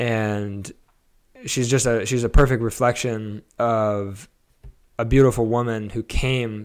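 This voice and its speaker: A man with a Californian accent at medium pitch, in a monotone, flat intonation, against a quiet background. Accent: General American (Californian). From Los Angeles (Studio City); Los Angeles. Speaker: photographer and cinematographer; podcast guest. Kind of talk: interview, casual conversation. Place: home room. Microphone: handheld.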